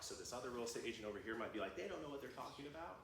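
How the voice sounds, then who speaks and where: An energetic man's voice with an American accent, medium in pitch with ordinary pitch variation, over noticeable background noise and audible room echo. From US Midwest. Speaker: guest speaker on AI video tools. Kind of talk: workshop presentation. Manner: frequent ums, occasional stumbles; casual, energetic.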